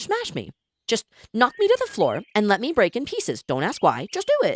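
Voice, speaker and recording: A man puts on a character voice pitched extremely high. He keeps a moderate pace. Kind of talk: Valley Girl speech.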